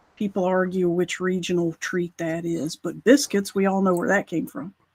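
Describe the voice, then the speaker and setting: The sound is dry and close with no echo. The speaker has an American accent. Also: woman, medium pitch for a woman, ordinary pitch variation, moderate pace. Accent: Carolina accent, can switch to northern. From US South, Carolina. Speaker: talk show co-host. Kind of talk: casual chat. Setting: live stream show. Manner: animated.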